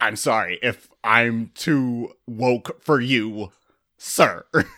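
In a put-on character voice, a man talks very slowly at a medium pitch with fairly even intonation, on a very clean recording with a silent background. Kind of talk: sarcastic. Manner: mocking, insincere apology.

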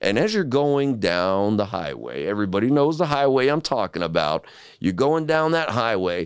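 On a very clean recording against a silent background, a man talks with pitch that swings very widely. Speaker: podcast co-host. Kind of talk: casual chat.

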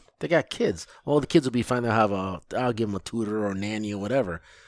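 With an American accent, the speaker goes at a very fast pace on a very clean recording with a silent background. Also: man. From US Midwest, Lansing, Michigan. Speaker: project manager. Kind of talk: casual chat.

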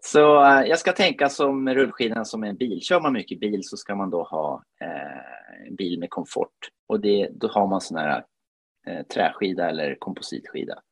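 A man with a Finnish accent at a moderate pace. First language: Finnish (speaking Swedish). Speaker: podcast co-host, amateur cross-country skier. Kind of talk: casual chat.

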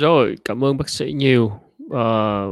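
On a very clean recording with a silent background, a man speaks at a very slow pace in a medium pitch with ordinary pitch variation.

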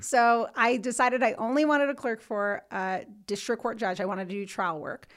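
In a New Jersey accent, a woman talks fairly quickly at a fairly high pitch. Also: ordinary pitch variation, very clean recording, silent background. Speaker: civil rights lawyer. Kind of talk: casual interview. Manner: fast talker; loud, assertive.

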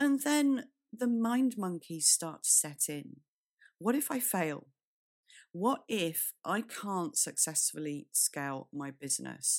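A woman with a British accent speaks very slowly at a medium pitch with very wide pitch swings, in a very clean recording with a silent background. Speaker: business strategist and podcast co-host. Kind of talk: solo podcast monologue.

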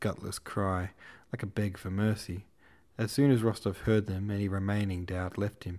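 This is plain reading aloud, and its intonation is fairly even.

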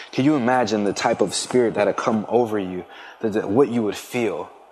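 Here a man with an American accent has an unremarkable speaking voice, a moderate pace and a fairly even intonation. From Philadelphia area, Pennsylvania. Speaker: football player. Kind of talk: testimony.

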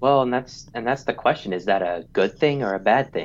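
A man with a medium pitch and ordinary pitch variation speaks in a normal speaking voice. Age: 30s. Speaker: traveler and blogger. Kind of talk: casual interview.

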